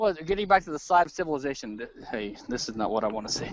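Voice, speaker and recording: With an American accent, a man talks at a very fast pace using lively intonation. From Louisiana, US South. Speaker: libertarian commentator. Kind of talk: casual chat. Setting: outdoors, walking a forest trail; video call on iPad. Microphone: very quiet.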